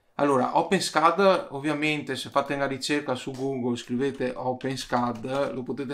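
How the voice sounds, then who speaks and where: A man talks at a fairly slow pace and a medium pitch. The recording is very clean, with a silent background. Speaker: YouTuber, DIY 3D printing maker. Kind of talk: tutorial. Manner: casual, with frequent hesitations.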